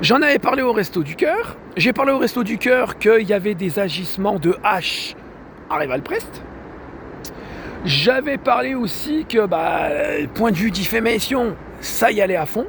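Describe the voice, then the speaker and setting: With noticeable background noise behind him, a man speaks with very wide pitch swings and long, frequent pauses. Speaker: vlogger. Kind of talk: personal video complaint monologue. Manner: halting, many hesitations.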